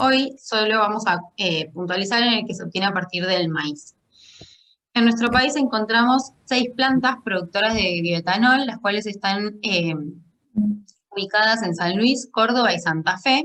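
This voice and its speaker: This voice has a bright, sharp tone. It moves along at a fairly slow speed. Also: woman, fairly high pitch for a woman, ordinary pitch variation. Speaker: food scientist presenting doctoral thesis. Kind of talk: lecture.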